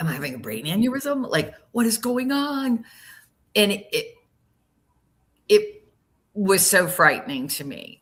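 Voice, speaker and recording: A woman with a bright, sharp tone, very wide pitch swings and a moderate pace. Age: 70s. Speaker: guest sharing health story. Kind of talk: casual chat.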